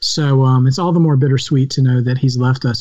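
Dark and mellow in tone, a man's somewhat breathy voice sits at medium pitch with fairly even intonation. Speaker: podcast host. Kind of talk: casual chat. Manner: rambling, filler-heavy.

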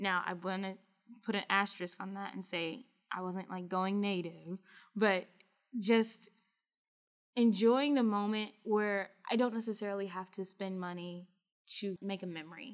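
Using a plain, everyday voice, a woman with an American accent speaks at a moderate pace and a medium pitch with fairly even intonation. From US South, small-town Kentucky. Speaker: study abroad professional, former Fulbright researcher. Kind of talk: interview conversation.

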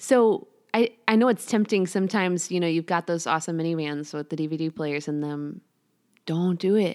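On a very clean recording with a silent background, a woman with a Chicago accent talks at a fairly quick pace, her fairly low pitch showing ordinary variation. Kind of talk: interview. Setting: home.

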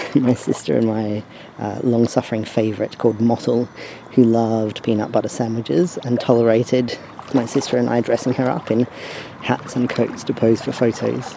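A man at medium pitch and a moderate pace, with fairly even intonation and noticeable background noise. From Australia. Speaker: podcast host. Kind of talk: scripted audio zine presenting.

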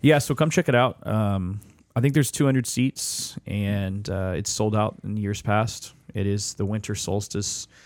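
Here is a man with an unremarkable speaking voice, pitched fairly low with ordinary pitch variation. He speaks at a moderate pace. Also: very clean recording, silent background. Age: 30s. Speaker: musician and event organizer. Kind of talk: casual chat.

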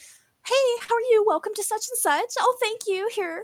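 In a put-on character voice, a woman speaks at a moderate pace with an extremely high, squeaky pitch. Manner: cheery, polite.

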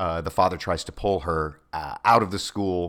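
A man with an American accent, at a moderate pace, with fairly even intonation. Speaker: actor and voiceover artist. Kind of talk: casual chat.

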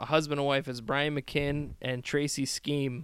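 In a plain, everyday voice, a man with an American accent speaks at a moderate pace and a fairly high pitch. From US Midwest, Chicago. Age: 30s. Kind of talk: casual chat. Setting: in person at host's house.

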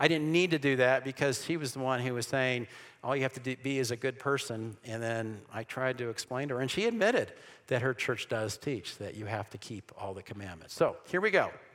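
Bright and sharp in tone, a man with an American accent sounds animated at a fairly high pitch. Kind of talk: church seminar lecture. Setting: room with live audience. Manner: fast.

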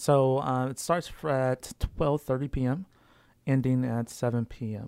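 A man with an ordinary speaking voice talks at a fairly slow pace and medium pitch with fairly even intonation, in a very clean, silent-background recording that is dry and close with no echo. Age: 30s. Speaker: jazz festival organizer. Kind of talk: casual interview.

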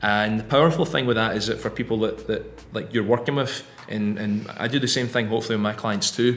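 With music in the background, a man of medium pitch speaks at a fairly quick pace in a Scottish accent. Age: 30s. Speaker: fitness coach and podcast co-host. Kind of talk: casual chat.

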